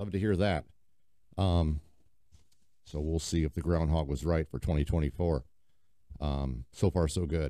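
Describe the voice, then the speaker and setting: Over a quiet background, a man with an American accent speaks at a fairly slow pace with long, frequent pauses, in a very deep, low, dark and mellow voice with fairly even intonation. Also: dry sound with no echo. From US Midwest (Quad Cities, Iowa/Illinois); Iowa. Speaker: podcast host, paddleboard enthusiast; podcast host. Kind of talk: casual solo podcast monologue. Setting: home basement. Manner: casual, filler-heavy (lots of um, uh). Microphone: studio mic.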